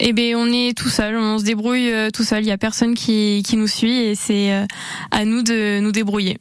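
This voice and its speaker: Over noticeable background noise, a woman speaks fairly slowly in a monotone, flat way, with a fairly high pitch and very even loudness. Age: 20s. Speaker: amateur triathlete. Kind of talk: radio interview. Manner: hesitant, with fillers.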